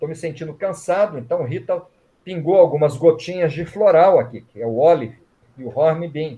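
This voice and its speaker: This man's voice has a dark, mellow tone and lively intonation. He speaks at a moderate pace. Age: 60s. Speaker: writer and reiki teacher. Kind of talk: interview.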